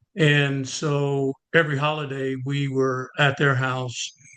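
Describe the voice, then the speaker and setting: A man with an American accent, at a very slow pace. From US, Harrisburg, Pennsylvania. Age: 70s. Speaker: professor emeritus. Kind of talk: interview. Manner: halting, many fillers.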